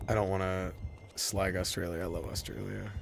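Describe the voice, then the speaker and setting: With audible room echo around him, a man speaks in a very deep, low voice with a Michigan accent. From Michigan, near Detroit (US Midwest). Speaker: video game streamer. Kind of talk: casual live-stream gameplay commentary. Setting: live stream. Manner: animated.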